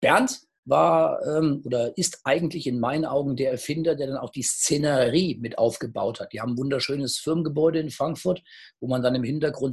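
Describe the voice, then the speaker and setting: Somewhat breathy, a man speaks at a fairly high pitch. His pace is fairly quick and his pitch varies normally. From Hesse, Germany (Gießen/Marburg). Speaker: startup investor and entrepreneur. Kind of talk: casual interview. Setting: online video call.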